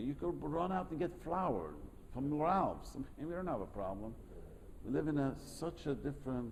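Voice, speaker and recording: A man with a non-native accent speaks at a fairly high pitch and a fairly quick pace, with lively intonation and vocal fry. Audible room echo surrounds his voice. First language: not English. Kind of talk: lecture with class discussion. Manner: halting, repetitive.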